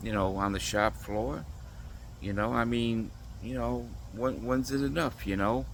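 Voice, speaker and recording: Amid audible room echo, a man speaks at a fairly slow pace and a fairly low pitch, with very wide pitch swings and long, frequent pauses. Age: 60s. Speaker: vlogger. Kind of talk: casual monologue.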